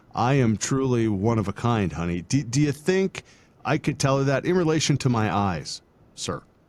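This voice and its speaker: A man speaks at a moderate pace with very wide pitch swings. The recording is very clean, with a silent background. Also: medium pitch for a man. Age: 50s. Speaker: podcast host. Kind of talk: interview conversation.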